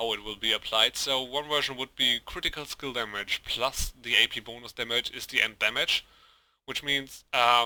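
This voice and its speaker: With a German accent, a man at medium pitch talks at a moderate pace in a bright, sharp tone, the sound dry and close with no echo. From Germany. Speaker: gaming video creator. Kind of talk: gameplay tutorial. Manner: halting, many fillers.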